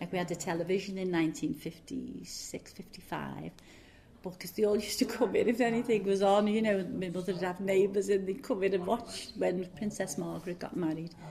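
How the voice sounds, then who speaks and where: With a Liverpool accent, a woman speaks at a fairly quick pace and a medium pitch with ordinary pitch variation against noticeable background noise. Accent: Liverpool (Scouse). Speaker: oral history interviewee, former factory worker. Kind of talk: oral history interview. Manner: casual, hesitant with fillers.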